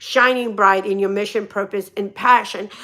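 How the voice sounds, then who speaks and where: Her tone bright, sharp and animated, a woman speaks. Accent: Russian. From Russia. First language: Russian. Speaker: motivational speaker and hairdresser. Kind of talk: live stream motivational talk. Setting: live stream.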